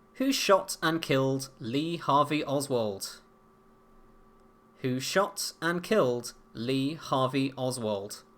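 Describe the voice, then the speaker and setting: A speaker in a British accent talks at a very slow pace. The recording is very clean, with a silent background. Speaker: quiz host. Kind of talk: pub quiz hosting. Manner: halting, self-described stuttery.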